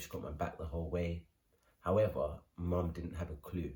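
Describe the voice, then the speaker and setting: A man with a London accent speaks at a very deep, low pitch. His tone is dark and mellow, and somewhat breathy. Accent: London English, multicultural London. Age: 20s. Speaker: vlogger. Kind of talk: personal story vlog. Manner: casual, many fillers.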